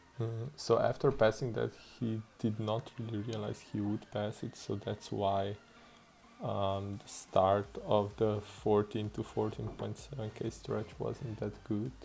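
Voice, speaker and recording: With a Slavic accent, a man speaks at a fairly slow pace, his fairly low voice dark, mellow and somewhat breathy, with fairly even intonation. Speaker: gaming YouTuber. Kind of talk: video game commentary narration. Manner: low energy; hesitant, many fillers. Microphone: bad mic quality.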